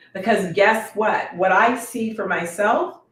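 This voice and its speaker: A woman speaks at a very slow pace with a medium pitch. Her voice is somewhat breathy. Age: 50s. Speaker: wellness coach and educator. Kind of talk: casual chat. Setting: dinner at home with guests.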